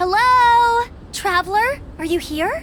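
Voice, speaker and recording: A squeaky, put-on character voice delivers the lines in an upbeat tone at a fairly slow pace over clear background noise. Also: woman. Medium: video game. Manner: bright, upbeat.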